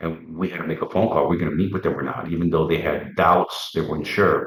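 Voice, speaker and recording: A man with a very deep, low voice, a Puerto Rican accent and fairly even intonation. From Wisconsin, Puerto Rican family. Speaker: former federal undercover agent. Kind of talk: interview storytelling. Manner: halting, many repeated words.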